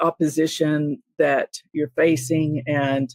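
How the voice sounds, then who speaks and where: A woman's voice in a dry, close sound with no echo. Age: 60s. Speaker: podcast host. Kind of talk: interview. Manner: halting, many fillers.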